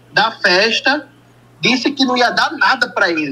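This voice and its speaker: Raising and projecting his voice, a man with a northeastern Brazilian accent speaks high-pitched at a fairly slow pace with lively intonation over noticeable background noise. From Brazil, Northeast. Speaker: caller, fan. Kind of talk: phone-in. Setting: phone call.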